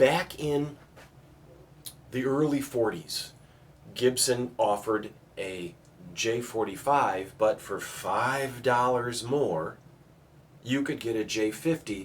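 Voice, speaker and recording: A man at a very slow pace and medium pitch, with long, frequent pauses. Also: ordinary pitch variation. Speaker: guitar dealer. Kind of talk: casual explanation to camera. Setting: back room of a guitar shop. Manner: speaking quietly.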